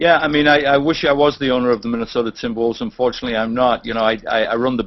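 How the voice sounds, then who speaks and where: A man with a medium pitch and ordinary pitch variation talks at a very fast pace over noticeable background noise. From England. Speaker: sports team executive. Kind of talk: casual interview. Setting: video call.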